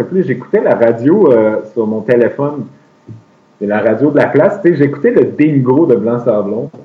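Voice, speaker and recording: A man with a Quebec accent, fairly high in pitch, with very wide pitch swings. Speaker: traveler. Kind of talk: casual chat.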